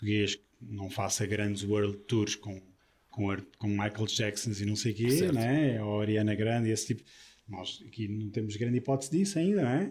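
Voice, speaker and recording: Somewhat breathy and fairly low, a man's voice moves at a moderate pace with ordinary pitch variation. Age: 40s. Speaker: drummer. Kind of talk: interview.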